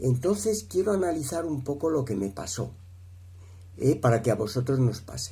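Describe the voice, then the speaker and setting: Fairly slow and somewhat breathy, a man at a medium pitch speaks with very wide pitch swings and a dark, mellow tone. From Spain, Madrid. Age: 60s. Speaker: speaker at a marriage prep course. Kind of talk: testimony. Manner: halting, many fillers.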